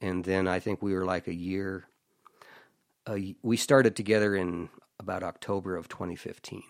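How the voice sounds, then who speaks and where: Over a silent background in a very clean recording, a man with a very deep, low pitch talks at a moderate pace with fairly even intonation and long, frequent pauses. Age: 60s. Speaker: country singer-songwriter. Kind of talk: casual chat.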